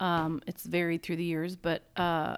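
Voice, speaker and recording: This woman has an unremarkable speaking voice, pitched fairly low, and speaks at a fairly slow pace in a very clean recording with a silent background. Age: 40s. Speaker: podcast co-host. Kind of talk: casual chat.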